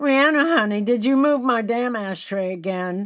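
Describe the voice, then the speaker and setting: Here a woman puts on a character voice with a fairly high pitch and lively intonation. She keeps a moderate pace on a very clean recording with a silent background. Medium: read story. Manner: profane, bossy, sassy.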